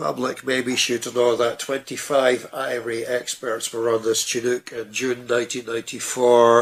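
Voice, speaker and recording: Monotone, flat intonation at a moderate pace comes through over noticeable background noise. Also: man. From Scotland. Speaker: UFO researcher. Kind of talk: interview.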